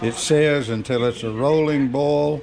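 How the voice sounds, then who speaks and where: Very slow speech from a man, fairly high-pitched with fairly even intonation, amid noticeable background noise. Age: 80s+. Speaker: farm homemaker. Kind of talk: casual cooking demonstration to camera.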